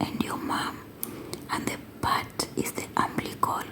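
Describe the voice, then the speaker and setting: A very slow whisper comes through over noticeable background noise. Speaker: English teacher for learners. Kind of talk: educational ASMR lesson for English learners. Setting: close-mic with writing sounds. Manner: whispered, slow, clear.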